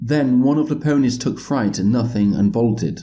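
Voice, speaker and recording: Speaking at a moderate pace with a British accent, a man has a dark, mellow tone and ordinary pitch variation. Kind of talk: audiobook reading.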